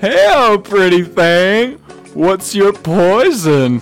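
At a very slow pace and medium pitch, a female-sounding voice performs a put-on character voice over clear background music. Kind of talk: joking, teasing. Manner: suppressed laughter, playful.

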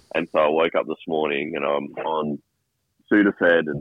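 The speaker is a man with an Australian accent. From Sydney. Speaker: caller. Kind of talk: casual chat. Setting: phone call.

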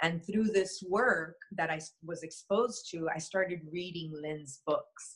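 In an American accent, a woman speaks at a fairly slow pace, somewhat breathy, her pitch varying in an ordinary way. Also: fairly low pitch for a woman. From US, Miami, Florida. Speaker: shaman and energy healer. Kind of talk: interview conversation.

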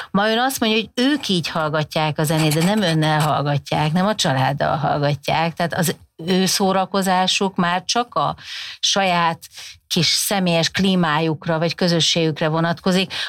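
A woman's plain, everyday voice at a fairly low pitch, with ordinary pitch variation, very even loudness and a moderate pace. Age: 50s. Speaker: communication researcher, professor. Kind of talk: podcast interview. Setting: studio.

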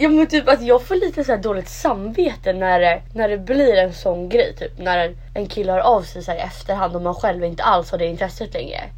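A woman's medium-pitched voice at a moderate pace, lively in intonation with hardly any pauses, over noticeable background noise. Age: 20s. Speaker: podcast co-host. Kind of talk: casual chat.

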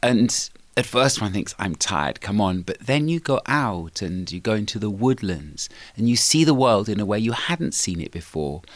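The voice moves at a moderate pace with very wide pitch swings. The recording is very clean, the background silent. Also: man, fairly low pitch for a man. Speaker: rabbi and author. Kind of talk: interview.

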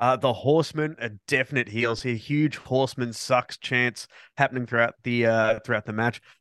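The speaker has an Australian accent and keeps a moderate pace with fairly even intonation. The sound is dry and close with no echo, over a quiet background. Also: man, medium pitch for a man. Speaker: podcast host. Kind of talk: casual chat.

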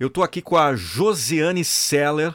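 A man talks in an animated tone at a fairly slow pace, recorded very cleanly over a silent background. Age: 40s. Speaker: podcast host and motivational voice-over artist. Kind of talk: casual interview chat. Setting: studio.

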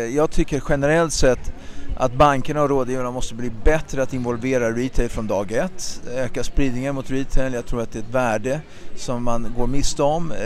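Moderate-paced speech from a man at medium pitch, with fairly even intonation and noticeable background noise. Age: 40s. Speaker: stock exchange listing executive. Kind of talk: interview. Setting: outdoors.

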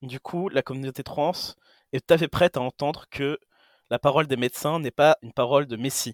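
A man with an unremarkable speaking voice talks fairly quickly at a fairly high pitch with fairly even intonation. The recording is very clean, with a silent background and a dry, close sound with no echo. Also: big swings in loudness. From Greece. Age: 20s. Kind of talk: casual chat.

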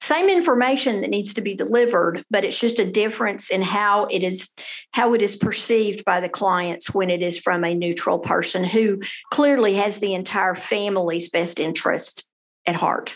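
A woman with a Texan accent talks at a moderate pace, with a medium pitch and ordinary pitch variation. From Texas, Denton. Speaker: family lawyer. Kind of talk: interview.

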